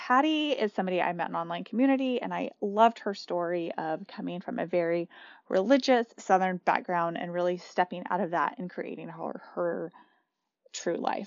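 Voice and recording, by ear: In a dry, close sound with no echo, a woman speaks at a fairly quick pace with a fairly low pitch and lively intonation.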